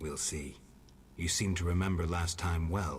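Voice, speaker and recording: A put-on character voice from a man, very deep and low in pitch, deadpan in tone, at a moderate pace over clear background noise. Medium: actual play. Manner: terse, deadpan.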